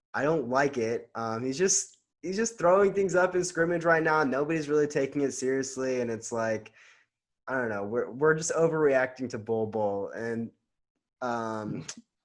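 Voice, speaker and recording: With a normal speaking voice at a medium pitch, a man talks at a moderate pace with lively intonation over a quiet background. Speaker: podcast co-host. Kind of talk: casual sports debate.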